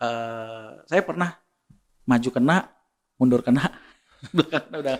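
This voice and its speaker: Medium pitch for a male speaker, with ordinary pitch variation and a moderate pace. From Bugis, South Sulawesi, Indonesia. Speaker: inventor. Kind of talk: podcast interview.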